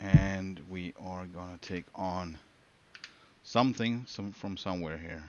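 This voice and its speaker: Talking at a very slow pace, a man with a very deep, low pitch shows ordinary pitch variation and big swings in loudness. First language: Swedish. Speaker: gaming streamer. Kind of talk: live gameplay commentary. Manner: halting.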